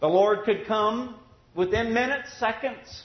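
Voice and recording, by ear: Audible room echo surrounds a man speaking at a fairly slow pace, his pitch high with ordinary pitch variation.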